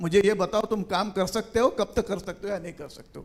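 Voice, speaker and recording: In an Indian accent, a man with a high pitch speaks at a moderate pace with ordinary pitch variation. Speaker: panelist, finance leader and author. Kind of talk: panel discussion.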